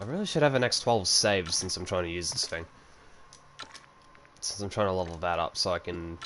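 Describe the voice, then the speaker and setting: In an Australian accent, a man with a very deep, low pitch and ordinary pitch variation speaks at a fairly quick pace with long, frequent pauses over noticeable background noise. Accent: Australian, average strength. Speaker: gaming streamer. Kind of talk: casual chat while livestreaming a game. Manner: casual, filler-heavy.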